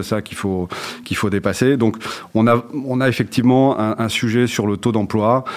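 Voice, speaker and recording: Over noticeable background noise, a man talks at a fairly quick pace with a monotone, flat intonation. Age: 40s. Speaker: HR director. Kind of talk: interview. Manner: halting, many fillers and repetitions.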